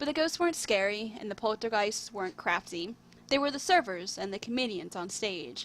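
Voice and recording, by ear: Someone reading aloud in a natural voice, intonation lively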